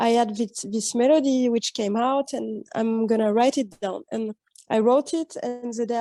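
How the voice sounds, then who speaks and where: With music in the background, a woman with a French accent speaks at a moderate pace and a fairly high pitch with ordinary pitch variation, the sound dry and close with no echo. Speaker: jazz drummer. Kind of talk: interview. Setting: video call. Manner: halting.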